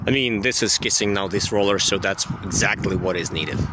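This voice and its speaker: A man on a dry recording with no echo and noticeable background noise. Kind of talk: casual vlog chat. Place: garden. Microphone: phone near.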